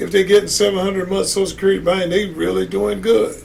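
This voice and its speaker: Audible room echo colors the voice of a man with an American accent. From United States. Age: 60s. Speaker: podcast host. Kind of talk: casual commentary monologue. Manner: animated.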